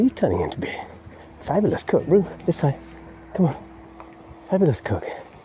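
Amid noticeable background noise, a man talks at a fairly quick pace, broken by long, frequent pauses. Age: 50s. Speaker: podcaster. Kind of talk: casual monologue. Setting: outdoors walking dog.

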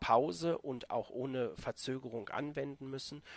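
Speaking at a moderate pace, a man with a plain, everyday voice uses a medium pitch and ordinary pitch variation. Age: 40s. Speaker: intensive care nurse and first aid trainer. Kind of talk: podcast interview.

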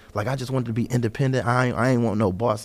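The speech moves at a very fast pace on a very clean recording with a silent background. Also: man. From US Midwest (Detroit). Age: 30s. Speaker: door-to-door salesman. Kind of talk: casual chat.

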